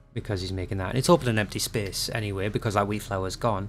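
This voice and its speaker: With music in the background, a man in a Geordie accent speaks very fast at a fairly low pitch with ordinary pitch variation. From northeast England (Newcastle area). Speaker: gaming YouTuber. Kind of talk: gameplay voice-over commentary. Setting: recorded voice-over after gameplay.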